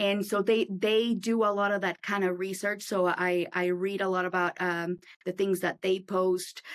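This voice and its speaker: Speaking at a moderate pace with hardly any pauses, a woman keeps a very even loudness and a monotone, flat intonation. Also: medium pitch for a woman. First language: not English. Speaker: insurance agency owner. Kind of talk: casual interview. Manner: halting, many fillers and restarts.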